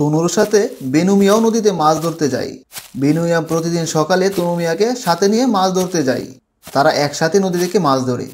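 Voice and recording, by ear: Here a man talks at a moderate pace in a slightly mellow tone, with ordinary pitch variation. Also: fairly high pitch for a man.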